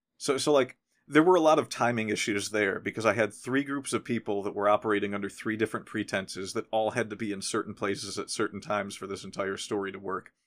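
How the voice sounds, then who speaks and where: On a very clean recording with a silent background, the speaker talks at a very fast pace with hardly any pauses and ordinary pitch variation. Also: man, fairly low pitch for a man. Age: 40s. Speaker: podcast host. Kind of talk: casual chat.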